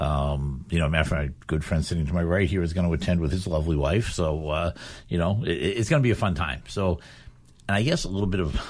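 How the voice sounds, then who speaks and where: Very deep and low, a man's voice with vocal fry races at a very fast pace, with ordinary pitch variation. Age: 60s. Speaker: local school committee chairman and charity fundraiser. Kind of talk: radio talk show conversation. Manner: casual, filler-heavy.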